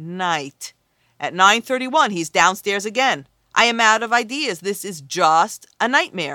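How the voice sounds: The background stays quiet as a natural reading voice is heard.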